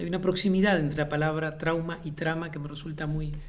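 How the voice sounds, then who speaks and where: A man talks at a fairly quick pace with a Uruguayan accent. His intonation is monotone and flat, and there is audible room echo. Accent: Uruguayan Spanish (rioplatense). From Uruguay, Montevideo. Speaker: playwright and theatre director. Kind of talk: interview monologue. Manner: reflective with frequent hesitations.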